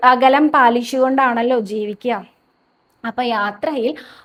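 With fairly even intonation, a woman talks in a high voice. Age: 30s. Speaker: devotional video host. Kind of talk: devotional talk and storytelling. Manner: casual, chatty.

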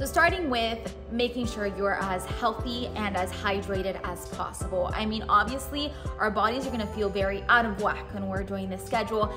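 A woman keeps a moderate pace while clear music sounds in the background. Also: hardly any pauses. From Miami. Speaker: TV news anchor. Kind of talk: casual talk to camera. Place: studio.

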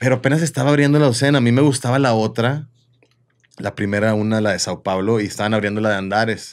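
A man speaks at a very fast pace with ordinary pitch variation. The background is quiet. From Mexico, Comarca Lagunera (Torreón); Mexico. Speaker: chef and restaurant owner; guest. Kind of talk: casual chat. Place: studio. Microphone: studio mic.

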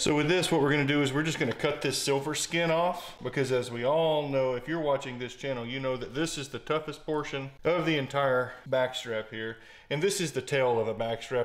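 Intonation stays fairly even as a man talks at a moderate pace. Light background noise sits behind him. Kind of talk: tutorial. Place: kitchen.

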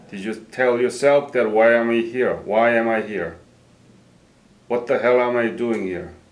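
At a fairly slow pace, a man uses an ordinary speaking voice at medium pitch with ordinary pitch variation. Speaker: interviewer. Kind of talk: oral history interview. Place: office.

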